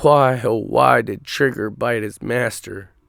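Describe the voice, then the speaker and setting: A raspy, put-on character voice from a man, medium in pitch, fairly slow, with ordinary pitch variation. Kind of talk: dark storytelling. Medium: read story.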